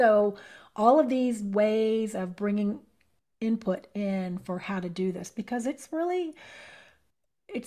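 A woman's voice with a dark, mellow tone. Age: 50s. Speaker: sound healing practitioner. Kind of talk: casual interview.

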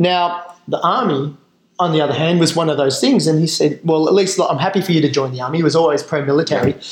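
Very fast speech from a man with an Australian accent and a fairly high pitch. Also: ordinary pitch variation. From Western Australia and Northern Territory mining towns. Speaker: Special Forces veteran, charity founder. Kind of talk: interview.

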